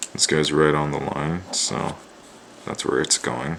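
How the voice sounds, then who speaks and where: A soft-spoken man whispers at a moderate pace. Noticeable background noise is present. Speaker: art student. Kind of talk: drawing tutorial. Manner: near whisper.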